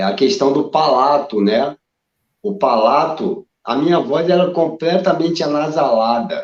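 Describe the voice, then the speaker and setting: A man speaks at a fairly slow pace with a fairly high pitch. His intonation is lively. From Brazil, Rio de Janeiro. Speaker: drummer and myasthenia patient. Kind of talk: casual interview chat. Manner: halting.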